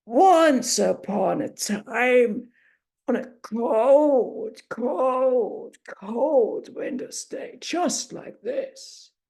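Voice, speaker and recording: A woman's put-on character voice, high-pitched and at a very slow pace. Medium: read story. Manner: slow, gentle, measured.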